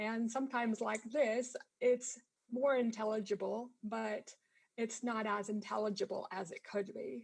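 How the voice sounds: Speaking at a fairly slow pace, a woman has a fairly high pitch, vocal fry, a slightly husky edge, a slightly mellow tone and fairly even intonation.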